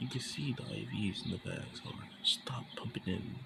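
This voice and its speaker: Whispering quietly, a man speaks over noticeable background noise. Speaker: fan fiction storyteller. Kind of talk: reading aloud own fan story; casual intro to camera. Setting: at home at night. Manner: whispering, hushed.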